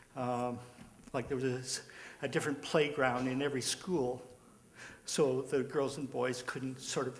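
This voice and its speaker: A man talks at a medium pitch with monotone, flat intonation, a fairly slow pace and long, frequent pauses. Audible room echo and noticeable background noise fill the recording. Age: 70s. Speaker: audience member. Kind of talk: audience comment at panel discussion. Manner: halting, many fillers.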